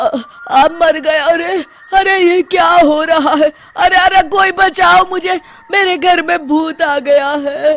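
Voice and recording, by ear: In a cartoonish character voice, a woman talks slowly with few pauses, her pitch extremely high and her tone fairly bright. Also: ordinary pitch variation.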